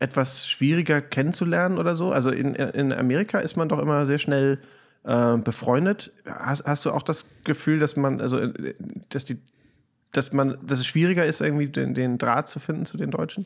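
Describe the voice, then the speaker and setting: A man with an ordinary speaking voice and ordinary pitch variation at a moderate pace, on a very clean recording with a silent background. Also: fairly high pitch for a man. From Germany, Hamburg. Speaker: podcast host. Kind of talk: casual chat.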